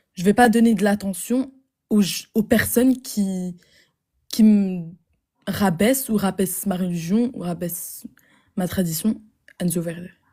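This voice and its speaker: Speaking at a fairly slow pace with long, frequent pauses, a woman uses a somewhat breathy, dark and mellow voice at a medium pitch with ordinary pitch variation. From Flemish Belgium. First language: Dutch (speaking French). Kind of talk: online debate with a stranger. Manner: hesitant.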